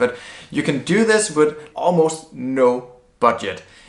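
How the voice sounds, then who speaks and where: A man with a non-native accent talks with lively intonation over noticeable background noise. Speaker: blogging educator. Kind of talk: tutorial. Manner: casual, conversational.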